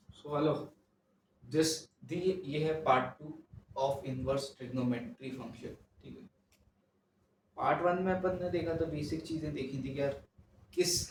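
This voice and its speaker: A soft-spoken man with a fairly high pitch, ordinary pitch variation and big swings in loudness, at a moderate pace with long, frequent pauses, in audible room echo. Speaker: maths teacher. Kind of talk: lecture. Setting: home recording at night.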